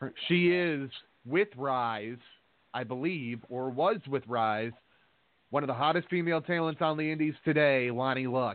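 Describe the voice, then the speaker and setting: A man with an unremarkable speaking voice talks at a moderate pace in a fairly high pitch with ordinary pitch variation. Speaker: radio host and wrestling promoter. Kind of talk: casual chat. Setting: studio.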